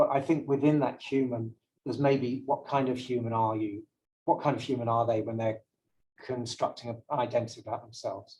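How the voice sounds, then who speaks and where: The voice moves at a fairly quick pace with fairly even intonation. Its tone is dark and mellow, and somewhat breathy. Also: man, medium pitch for a man. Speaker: brand language consultant. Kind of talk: lecture. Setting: seminar room with live audience. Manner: fast.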